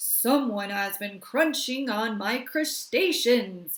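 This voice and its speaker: A woman growls through a put-on character voice, high-pitched and very slow. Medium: read story.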